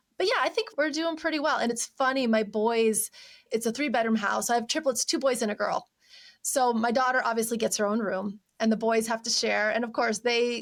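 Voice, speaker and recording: A woman's normal speaking voice, fairly high in pitch with ordinary pitch variation, at a fairly quick pace in a very clean recording with a silent background. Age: 40s. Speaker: decluttering coach. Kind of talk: podcast interview.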